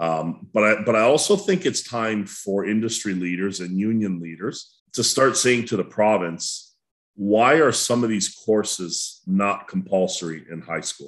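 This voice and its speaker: A plain, everyday voice, a man's with a Canadian accent, at a fairly slow pace and with ordinary pitch variation, against a quiet background. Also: fairly low pitch for a man. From Welland, Ontario, Canada; Ontario. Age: 50s. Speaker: school board educator. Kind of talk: panel discussion. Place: home room. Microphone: webcam.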